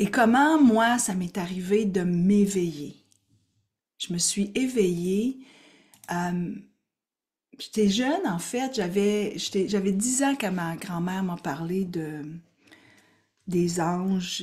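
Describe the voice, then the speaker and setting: A woman's somewhat breathy, medium-pitched voice with a Quebec accent, very slow with long, frequent pauses and ordinary pitch variation, against a quiet background. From Quebec, Gaspésie. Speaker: spiritual coach and teacher; spiritual coach, teacher. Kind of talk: live online workshop. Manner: animated. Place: home room. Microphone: webcam.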